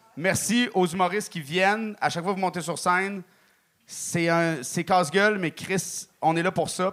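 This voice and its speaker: This is a man with a high pitch. He talks at a fairly slow pace with ordinary pitch variation. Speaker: guest judge, comedian. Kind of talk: casual chat. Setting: stage with audience.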